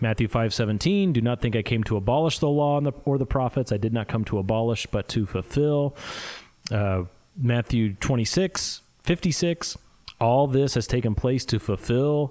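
A man with a Midwestern US accent speaks at a fairly slow pace, his medium-pitched voice showing ordinary pitch variation. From US Midwest. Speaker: podcast co-host. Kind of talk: casual theological discussion.

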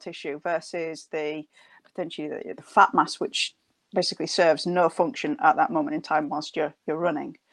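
A woman talks at a moderate pace. The sound is dry and close with no echo, over a quiet background. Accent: northern. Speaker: doctor, strength training expert. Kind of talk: interview. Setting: video call.

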